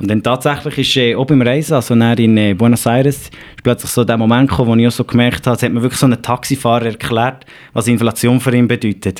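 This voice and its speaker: Speaking at a very fast pace, a man with a Swiss accent uses a medium pitch and fairly even intonation. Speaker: digital learning and upskilling specialist. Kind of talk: podcast interview.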